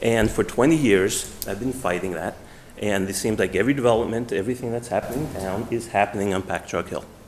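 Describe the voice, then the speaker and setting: A man talks with a New York accent. His pitch is fairly low, and his pace fairly quick. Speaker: resident speaking at public meeting. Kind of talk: public comment. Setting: town meeting hall.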